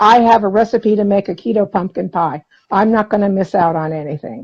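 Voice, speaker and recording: A somewhat breathy woman's voice with ordinary pitch variation and a dry, close sound with no echo. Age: 60s. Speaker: interview guest sharing diet success story. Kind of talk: casual interview chat.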